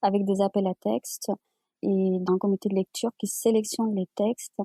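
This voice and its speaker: In a dry, close sound with no echo, a dark, mellow voice speaks at a fairly slow pace in a monotone, flat intonation. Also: woman. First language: Amazigh (Berber) (speaking French). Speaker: publisher and writer. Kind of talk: interview. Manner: halting, many repetitions.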